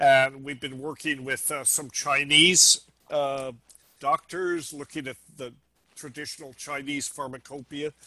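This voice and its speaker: With an American accent, a man speaks at a fairly high pitch and fairly slow pace in a bright, sharp tone, his intonation monotone and flat, with big swings in loudness. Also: dry, close sound with no echo. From United States. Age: 70s. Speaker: ethnopharmacologist. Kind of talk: interview conversation.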